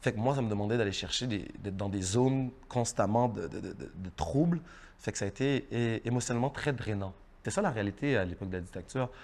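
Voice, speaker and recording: Words come at a very fast pace, and the pitch varies in an ordinary way. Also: man. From Haiti. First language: Haitian Creole (speaking French). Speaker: actor. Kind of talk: interview. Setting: studio. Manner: halting, repeats words.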